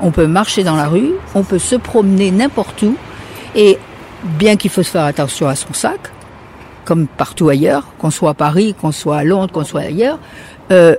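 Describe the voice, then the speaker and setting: A woman uses a normal speaking voice and lively intonation, keeping a moderate pace. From France. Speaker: retiree. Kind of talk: casual interview.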